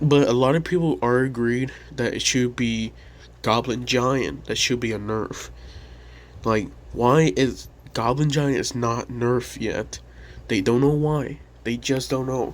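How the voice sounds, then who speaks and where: The voice is quiet, with fairly even intonation. It moves at a fairly slow pace with long, frequent pauses. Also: man, medium pitch for a man. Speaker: gaming YouTuber. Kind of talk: casual commentary. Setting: home at night. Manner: quiet, held-down voice. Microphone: poor audio.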